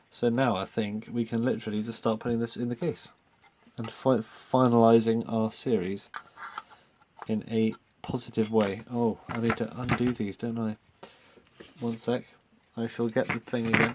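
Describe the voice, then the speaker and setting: The delivery holds a moderate pace but has long, frequent pauses. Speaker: vintage clock restorer. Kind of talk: hands-on repair commentary. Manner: lowered voice, quieter; hesitant, many fillers.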